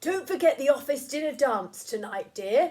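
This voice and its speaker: At a moderate pace, a woman performs a put-on character voice at a high pitch. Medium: read story.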